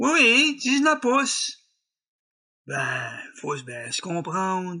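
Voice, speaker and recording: In a French Canadian accent, a man speaks at a very slow pace. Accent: rural French Canadian patois. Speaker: storyteller. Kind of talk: folk tale storytelling. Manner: humorous, folksy.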